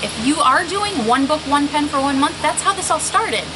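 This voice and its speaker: A woman speaks at a high pitch. There is noticeable background noise and audible room echo. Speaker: stationery YouTuber. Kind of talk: casual vlog show-and-tell. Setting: outdoors. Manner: fast.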